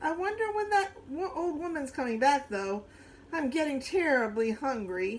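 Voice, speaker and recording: In a put-on character voice, a woman speaks high with very wide pitch swings at a moderate pace. Clear background noise runs behind her. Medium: read story.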